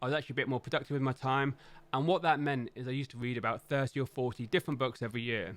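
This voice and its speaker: Delivered at a very fast pace with ordinary pitch variation, the speech sits in a very clean recording with a silent background. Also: man. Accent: London. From London, England. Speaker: tech YouTuber and software team manager. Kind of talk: casual recommendations monologue. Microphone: professional studio mic.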